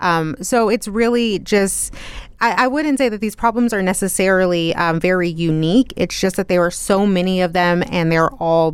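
A normal speaking voice: a woman in an American accent, medium pitch, ordinary pitch variation, moderate pace. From Texas, South Plains. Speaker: news reporter. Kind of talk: radio interview. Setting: studio.

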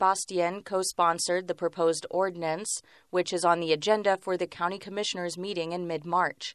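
A woman speaks at a moderate pace in an unremarkable speaking voice of medium pitch. The sound is dry and close with no echo, over a quiet background. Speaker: radio reporter. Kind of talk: news report.

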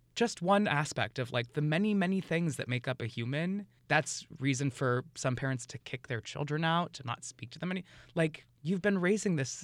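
An unremarkable speaking voice from a man with an American accent, fairly high pitch and lively intonation, in a very clean recording with a silent background. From New York City. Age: 30s. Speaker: drag performer. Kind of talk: casual interview.

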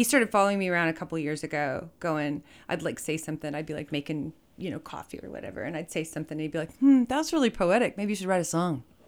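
A woman with an American accent, a fairly low pitch and lively intonation, at a very fast pace with big swings in loudness, on a very clean recording with a silent background. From Texas, Fort Worth. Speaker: musician. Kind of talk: casual chat.

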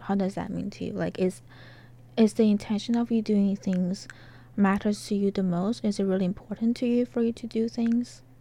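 Her voice is medium-pitched and somewhat breathy, with a dark, mellow tone. The woman's pitch variation is ordinary. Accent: Chinese. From China. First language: Chinese. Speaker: graduate student interviewer. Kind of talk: interview. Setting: recording booth. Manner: halting, rephrases questions.

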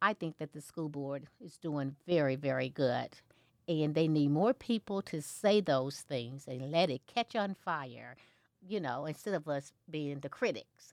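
A woman with a very deep, low pitch and an American accent, lively intonation, a fairly slow pace, and a very clean, dry, close recording with a silent background and no echo. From southeast Missouri. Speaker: school board candidate and educator. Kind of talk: interview.

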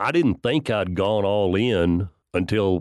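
Against a quiet background, a man with a West Texas accent speaks in a dry, close sound with no echo. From West Texas, near Lubbock. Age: 50s. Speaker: farmer and winemaker. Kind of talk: radio interview.

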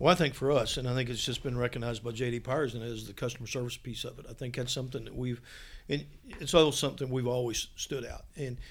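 A man talks at a very fast pace with a medium pitch. His intonation stays fairly even. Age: 60s. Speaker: insurance company executive. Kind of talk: interview. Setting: office. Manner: halting, frequent fillers.

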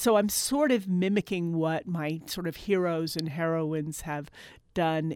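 With an American accent, a woman at fairly low pitch speaks at a fairly slow pace with ordinary pitch variation, in a very clean recording with a silent background. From Eastern Long Island, New York. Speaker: professor and folklorist. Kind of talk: interview. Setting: studio.

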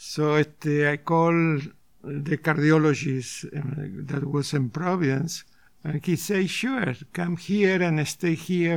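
This man's voice sits fairly high. He keeps his intonation fairly even. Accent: Argentine. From Argentina. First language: Spanish. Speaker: retired surgeon and painter. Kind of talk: interview, personal story.

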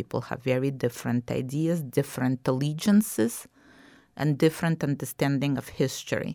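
A woman with a very deep, low pitch and ordinary pitch variation speaks at a moderate pace on a very clean recording with a silent background. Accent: Russian. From Ukraine, Kyiv. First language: Russian. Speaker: documentary filmmaker and historical society president. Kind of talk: interview.

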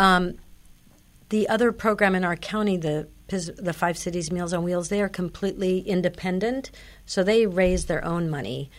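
A woman talks in a normal speaking voice at a medium pitch and moderate pace. Her pitch variation is ordinary, and the recording is very clean with a silent background. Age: 60s. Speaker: senior nutrition program nutritionist. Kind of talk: radio interview. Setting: studio.

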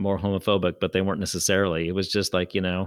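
A very fast pace on a very clean recording with a silent background. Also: man. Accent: American. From Berkeley, California. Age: 60s. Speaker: radio host. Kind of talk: radio interview.

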